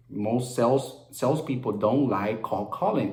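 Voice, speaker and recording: A man with a Spanish accent talks at a moderate pace. Room echo is audible. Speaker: real estate wholesaler. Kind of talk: casual vlog talk; reading aloud. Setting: at home. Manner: halting, with frequent fillers and repeats.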